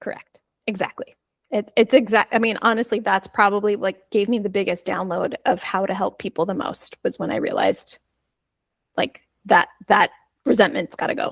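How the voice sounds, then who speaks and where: A woman speaks at a moderate pace with a medium pitch and ordinary pitch variation, in an unremarkable speaking voice. The sound is dry and close, with no echo. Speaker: life coach. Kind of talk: casual interview chat.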